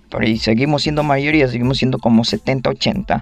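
Music plays in the background as a man speaks with a fairly high pitch. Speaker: podcast host. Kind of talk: casual monologue.

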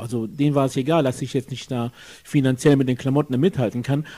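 At a very fast pace, a man with a medium pitch and ordinary pitch variation speaks in a somewhat breathy voice with a dark, mellow tone. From Germany, Jülich. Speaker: guest, political supporter. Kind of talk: casual interview. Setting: friend's apartment.

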